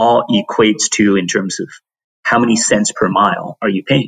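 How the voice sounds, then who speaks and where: Heard in a dry, close sound with no echo, a man with an American accent and a normal speaking voice talks at a fairly low pitch and a moderate pace. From China, then US Pacific Northwest from teens. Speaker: tech company CEO. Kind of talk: interview.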